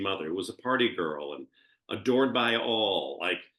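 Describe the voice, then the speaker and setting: A man's fairly low voice with vocal fry, lively intonation and a fairly quick pace. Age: 60s. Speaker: reality TV cast member and event planner. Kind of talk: interview. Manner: animated.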